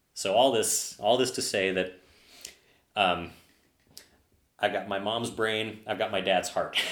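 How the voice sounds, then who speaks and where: A man speaks at a fairly slow pace, leaving long, frequent pauses. His pitch is fairly low and his intonation fairly even, with audible room echo. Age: 30s. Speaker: software developer and bar regular. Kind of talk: casual chat.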